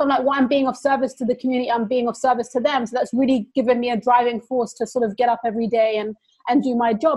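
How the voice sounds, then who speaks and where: A woman's high-pitched voice at a very fast pace. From London, England. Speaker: publicist. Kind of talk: casual conversation.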